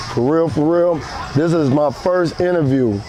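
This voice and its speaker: Speaking with an American accent, a man with a fairly high pitch goes at a fairly slow pace with ordinary pitch variation, amid noticeable background noise. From Watts, Los Angeles, US. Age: 60s. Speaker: street gang veteran. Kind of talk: interview. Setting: outdoors in a park.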